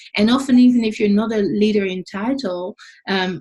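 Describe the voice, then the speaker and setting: With a Dutch accent, a woman speaks at a moderate pace in a fairly high, somewhat breathy voice with lively intonation. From Netherlands. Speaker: leadership coach, podcast host. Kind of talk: podcast interview.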